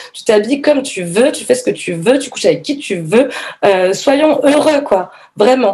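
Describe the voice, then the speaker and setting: The loudness swings widely and the intonation is lively. The pace is fairly slow. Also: woman, high pitch for a woman. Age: 30s. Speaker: yoga teacher and feminist activist. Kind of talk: testimony. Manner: halting.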